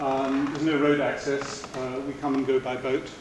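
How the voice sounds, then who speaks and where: A man talks at a moderate pace. The room echo is audible, and background noise is noticeable. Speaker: speaker. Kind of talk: lecture. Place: hall. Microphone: camera far.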